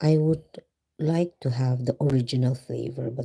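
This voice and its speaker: Someone whispers at a moderate pace in a Visayan Filipino accent. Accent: Filipino (Cebuano) English. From Philippines, Cebu. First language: Filipino / Cebuano. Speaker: vlogger. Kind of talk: live stream chat. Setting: live stream at home, night. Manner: whispering; code-switching Tagalog and English.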